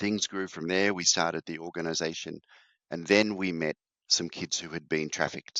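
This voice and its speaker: Very deep and low, a man's voice comes with an Australian accent, a bright, sharp tone and fairly even intonation at a moderate pace. The sound is dry and close with no echo, against a quiet background. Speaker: charity founder. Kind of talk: interview.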